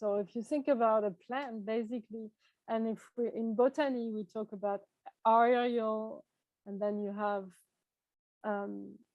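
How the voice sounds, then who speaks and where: With a French accent and a fairly high pitch, a woman speaks at a fairly slow pace with fairly even intonation and long, frequent pauses. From France. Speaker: tea shop owner and workshop presenter. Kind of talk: online workshop presentation. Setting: video call.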